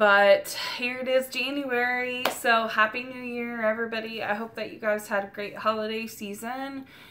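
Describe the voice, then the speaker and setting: Noticeable background noise runs behind a woman whose intonation stays flat and monotone. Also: moderate pace. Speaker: vlogger sharing infertility journey. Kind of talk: personal vlog. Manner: hesitant, many fillers.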